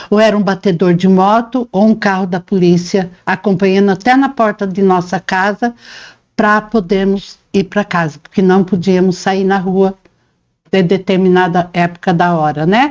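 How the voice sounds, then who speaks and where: A woman with a normal speaking voice talks fairly slowly at a medium pitch, her intonation fairly even and her loudness very even. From Paraná, Brazil (born in interior São Paulo). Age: 60s. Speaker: interviewee, reporter's mother, homemaker. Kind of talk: interview, life story.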